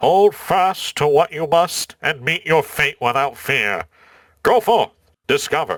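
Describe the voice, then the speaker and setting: The speaker is a man using a put-on character voice. His delivery comes at a fairly slow pace. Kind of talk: solemn, proclamation-like.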